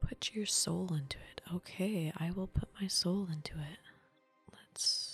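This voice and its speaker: Soft-spoken and relaxed in tone, the speaker goes at a fairly slow pace with music in the background. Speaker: ASMR gaming streamer. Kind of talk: casual gameplay commentary, thinking aloud. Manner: soft-spoken, relaxed.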